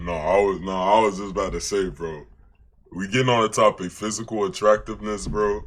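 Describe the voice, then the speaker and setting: This man's pitch is fairly low. He talks at a fairly quick pace. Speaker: reaction streamer. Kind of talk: reaction commentary. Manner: casual slangy; higher pitch when excited.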